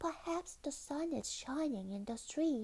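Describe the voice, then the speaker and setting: A woman speaks fairly slowly in a high-pitched, put-on character voice. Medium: read story.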